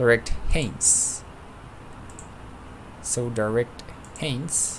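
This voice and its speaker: A man with a non-native accent speaks at a very slow pace over noticeable background noise. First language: not English. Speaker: flight sim streamer. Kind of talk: live stream with radio calls. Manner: halting.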